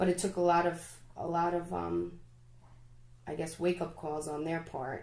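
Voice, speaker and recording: A woman speaks in a monotone, flat intonation, with audible room echo around her. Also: fairly low pitch for a woman, moderate pace. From Staten Island, New York, Egyptian immigrant family. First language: Arabic. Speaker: teacher. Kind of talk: casual chat.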